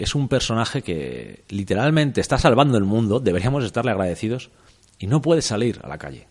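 Lively in intonation, a man speaks at a fairly quick pace in a fairly low pitch. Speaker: film podcast host. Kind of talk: casual chat.

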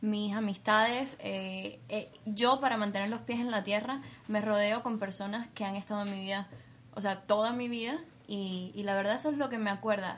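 A somewhat breathy woman's voice at a moderate pace with fairly even intonation. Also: medium pitch for a woman. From Cuba. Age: 20s. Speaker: beauty pageant winner. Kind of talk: interview.

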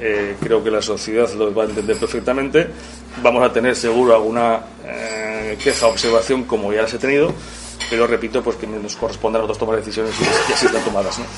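With noticeable background noise, a man at medium pitch talks at a very fast pace in a monotone, flat delivery. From Spain, Barbastro (Aragon). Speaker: restaurant owner. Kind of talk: press presentation. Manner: hesitant, many fillers.

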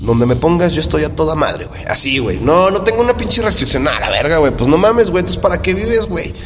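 Speaking very fast with hardly any pauses, a man with a Mexican accent uses a fairly high pitch and very wide pitch swings, with noticeable background noise and audible room echo. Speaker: podcast co-host. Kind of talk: casual chat.

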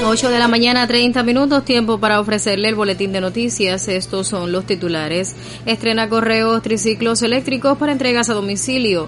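With a Cuban accent and a fairly high pitch, a woman talks with hardly any pauses, ordinary pitch variation and very even loudness over noticeable background noise. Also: fairly quick pace. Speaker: radio news presenter. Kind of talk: news reading. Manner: formal.

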